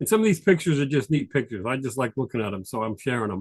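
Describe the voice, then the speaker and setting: A man with a New York accent. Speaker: tax advisor. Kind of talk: presentation. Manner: fast.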